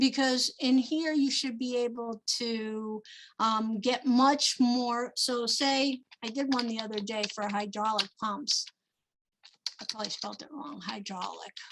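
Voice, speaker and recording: A woman with a New Jersey accent talks at a fairly slow pace in a high pitch, her intonation fairly even but her loudness swinging widely. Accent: New Jersey (US Northeast). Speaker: small business procurement advisor. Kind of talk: webinar presentation. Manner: many filler ums.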